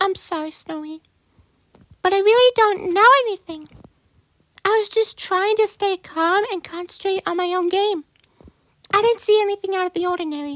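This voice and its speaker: Pitched extremely high, a squeaky, put-on character voice moves at a moderate pace with long, frequent pauses. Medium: machinima.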